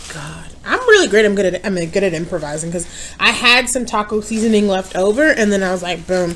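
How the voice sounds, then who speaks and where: A woman at medium pitch with an American accent, fairly quick pace and ordinary pitch variation, over noticeable background noise. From New York. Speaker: mukbang youtuber. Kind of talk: casual chat. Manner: loud, projecting.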